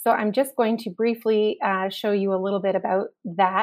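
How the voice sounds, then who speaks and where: Here is a woman with an unremarkable speaking voice, fairly high in pitch, with fairly even intonation. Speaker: webinar moderator. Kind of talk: moderating Q and A.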